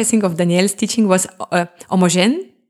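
Speaking at a moderate pace with a Russian accent, a woman uses a fairly low-pitched voice. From Crimea, Russian-speaking; moved to Germany as a teen. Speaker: classical saxophonist. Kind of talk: interview.

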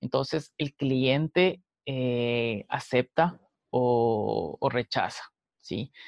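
At a very slow pace, a man speaks at a medium pitch with ordinary pitch variation. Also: dry, close sound with no echo. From Ecuador, Quito. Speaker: entrepreneur. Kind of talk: interview.

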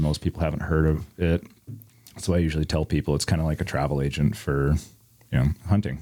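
A man with an American accent speaks in a very deep, low voice, dark and mellow in tone, with monotone, flat intonation. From Iowa, US Midwest. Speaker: hunting consultant. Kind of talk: casual chat.

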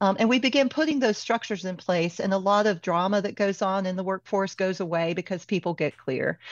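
A woman's normal speaking voice at medium pitch, fairly quick, with ordinary pitch variation. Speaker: HR consultant. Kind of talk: interview conversation.

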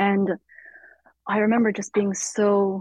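A somewhat breathy woman's voice. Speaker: writer. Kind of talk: in-depth interview. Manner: halting with many fillers and repetitions.

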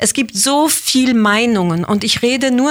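A woman speaks at a very slow pace in a dry, close sound with no echo. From Switzerland, Basel. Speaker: actress. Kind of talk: interview.

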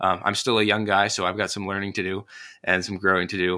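A man speaks in a fairly low pitch with an American accent, his delivery monotone and flat. His tone is bright and sharp, and the recording is very clean with a silent background. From northern Indiana, US Midwest. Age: young. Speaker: Sunday school teacher and podcaster. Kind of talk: casual interview.

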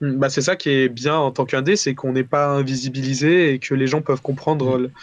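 Speaking at a fairly quick pace, a man keeps his medium-pitched voice monotone and flat. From southern France, Valence. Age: 20s. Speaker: indie game developer. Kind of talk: casual interview.

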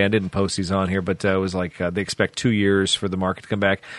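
A man with a Midwestern American accent, talking at a very fast clip. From US Midwest, central Illinois. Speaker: car podcast co-host. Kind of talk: casual chat.

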